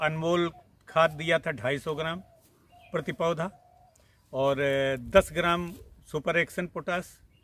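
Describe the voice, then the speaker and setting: Delivered at a very slow pace with long, frequent pauses, the speech has fairly even intonation and a dry sound with no echo. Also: man, high pitch for a man. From Sitapur district, Uttar Pradesh, India; Uttar Pradesh. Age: 70s. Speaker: retired police officer and fruit farmer. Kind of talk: interview answers; interview answer. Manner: halting.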